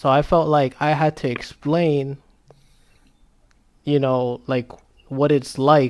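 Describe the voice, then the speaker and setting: In a Spanish accent, a man with a fairly high voice speaks very slowly and in a flat monotone, leaving long, frequent pauses. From US Dominican community. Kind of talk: casual chat. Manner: halting.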